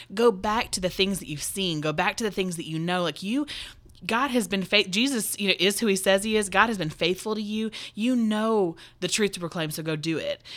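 With a plain, everyday voice, a woman talks using ordinary pitch variation. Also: medium pitch for a woman, fairly quick pace. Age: 30s. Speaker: podcast host. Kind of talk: casual chat.

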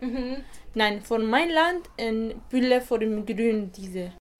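A woman with an Arabic accent speaks in a fairly high voice with ordinary pitch variation. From Iraq. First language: Arabic (speaking German). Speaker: meeting participant. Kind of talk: interview. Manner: halting.

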